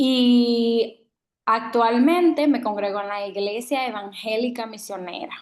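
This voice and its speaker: Speaking at a very slow pace, a woman with a Dominican accent uses a fairly high pitch and ordinary pitch variation. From Dominican Republic. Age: 20s. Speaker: student. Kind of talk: self-introduction.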